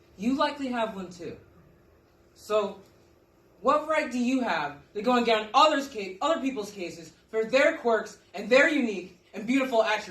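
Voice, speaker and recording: A moderate pace over noticeable background noise. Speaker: spoken word poet. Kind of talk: spoken word poetry performance. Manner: animated.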